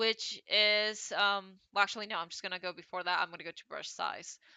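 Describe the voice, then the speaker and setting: Here a woman talks at a moderate pace. Her pitch is medium. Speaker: digital art tutorial creator. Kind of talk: tutorial. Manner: casual, hesitant with fillers.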